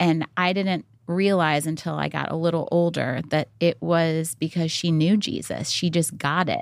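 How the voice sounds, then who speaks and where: A woman speaks in an ordinary speaking voice at a fairly low pitch and a fairly slow pace. It is a very clean recording with a silent background. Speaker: mother and wife of a country musician. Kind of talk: casual chat.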